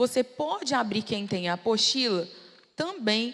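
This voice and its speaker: Delivered at a moderate pace, the speech sits over noticeable background noise. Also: woman. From Brazil, Belo Horizonte. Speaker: preacher. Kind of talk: sermon. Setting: church with audience.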